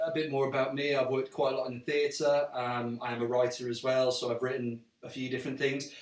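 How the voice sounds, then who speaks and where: Over noticeable background noise, a man with a slight Welsh accent speaks at a very fast pace with hardly any pauses, in a medium pitch and monotone, flat intonation. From Wales. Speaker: actor and writer, live stream co-host. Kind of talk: casual live stream chat.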